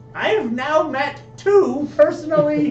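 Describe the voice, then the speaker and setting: A put-on character voice speaks at a fairly slow pace over clear music in the background. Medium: actual play. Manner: indignant, complaining.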